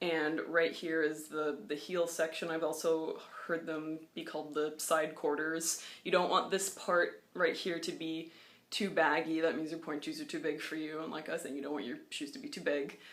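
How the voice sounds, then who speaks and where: A woman speaks in a very deep, low pitch at a moderate pace. Her intonation is monotone and flat. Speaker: ballet dancer. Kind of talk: casual talk to camera. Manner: hesitant, stammering.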